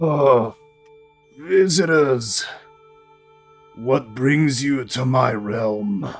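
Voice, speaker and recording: A put-on character voice at a very slow pace, faint music in the background. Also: man, medium pitch for a man. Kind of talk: fantasy role-play. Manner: regal, imperious.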